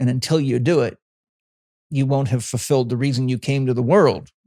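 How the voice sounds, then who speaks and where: A man at medium pitch with a dark, mellow tone and a moderate pace, in a very clean recording with a silent background. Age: 60s. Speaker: holistic health coach and trainer. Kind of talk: casual interview chat. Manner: animated.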